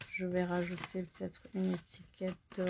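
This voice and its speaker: A woman talks at a fairly slow pace and a medium pitch. Background noise is noticeable. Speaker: crafting instructor. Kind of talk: live craft tutorial. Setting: Facebook live stream. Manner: casual, chatty.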